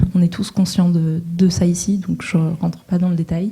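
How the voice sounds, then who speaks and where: A woman speaks in a flat monotone at a fairly low pitch. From northern France, coast. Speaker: social entrepreneur, panelist. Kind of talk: panel talk. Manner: hesitant, many fillers.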